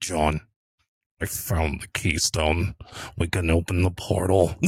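On a very clean recording with a silent background, a man uses a put-on character voice, very deep and low in pitch, at a fairly slow pace. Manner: intense, rambling.

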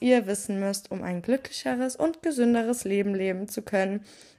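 A normal speaking voice from a woman, fairly high in pitch, with ordinary pitch variation and a moderate pace. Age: 20s. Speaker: podcast host and psychology student. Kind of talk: solo podcast monologue.

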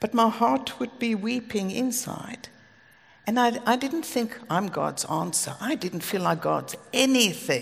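With lively intonation and a South African accent, the speaker talks at a fairly slow pace over noticeable background noise. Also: woman, fairly high pitch for a woman. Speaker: preacher. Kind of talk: sermon. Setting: stage with audience.

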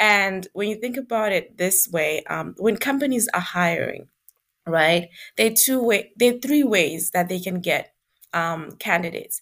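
An ordinary speaking voice from a woman at medium pitch, a fairly slow pace and lively intonation, on a very clean recording with a silent background. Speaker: recruiter. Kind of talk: casual interview chat.

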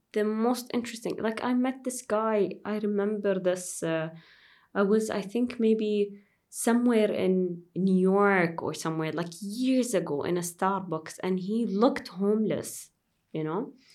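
A woman speaks with an Arabic accent. Her pace is fairly slow. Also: medium pitch for a woman, ordinary pitch variation. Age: 30s. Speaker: airline pilot. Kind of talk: interview conversation.

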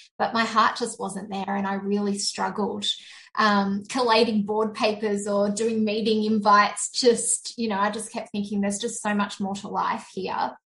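In an Australian accent, a woman talks at a moderate pace. Her fairly high pitch stays monotone, with flat intonation. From Sydney, Australia. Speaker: virtual assistant business owner. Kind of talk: interview, personal testimony.

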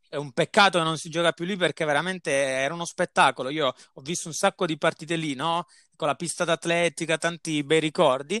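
A man's bright, sharp tone with fairly even intonation, in a dry, close sound with no echo. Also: fairly high pitch for a man, very clean recording, silent background. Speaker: football podcast host. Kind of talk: casual chat.

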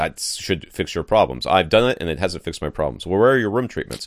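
Talking very fast with lively intonation and vocal fry, a man uses a very deep, low pitch in a very clean recording with a silent background. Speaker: podcast host.

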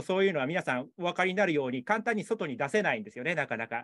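The voice swings very widely in pitch, and the sound is dry and close with no echo. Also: man. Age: 40s. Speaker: photographer. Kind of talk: interview. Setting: video call. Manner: halting.

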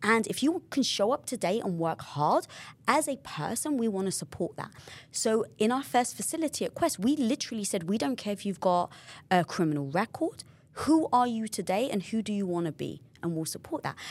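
Animated and fairly quick, a woman talks in a London accent at a fairly high pitch with very wide pitch swings. The recording is very clean, with a silent background. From England, North London. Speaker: entrepreneur and podcast host. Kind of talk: casual interview chat.

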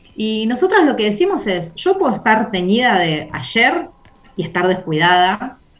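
Intonation here is lively, at a fairly slow pace. Noticeable background noise can be heard. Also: woman. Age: 40s. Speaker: community organizer. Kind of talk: casual chat.

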